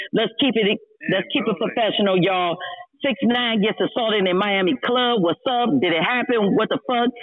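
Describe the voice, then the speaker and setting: A man speaks at a fairly quick pace with an American accent. Noticeable background noise runs underneath. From San Francisco, Hunters Point. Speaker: online radio host. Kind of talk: heated debate. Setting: audio chat room. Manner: loud.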